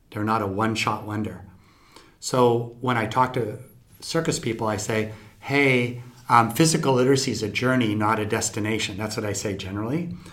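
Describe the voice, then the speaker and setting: Amid audible room echo, a man talks at a medium pitch and moderate pace with ordinary pitch variation. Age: 50s. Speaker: scientist. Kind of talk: interview.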